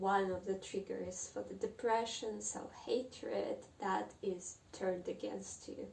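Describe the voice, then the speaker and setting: A woman with a Russian accent speaks at a very slow pace. Noticeable background noise runs underneath. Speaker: book vlogger. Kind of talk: casual monologue on literature. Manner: halting.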